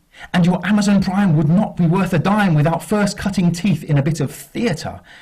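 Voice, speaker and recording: With noticeable background noise, a man speaks at a fairly slow pace in a high pitch. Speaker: spoken word poet. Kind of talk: spoken word poetry performance. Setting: live acoustic night.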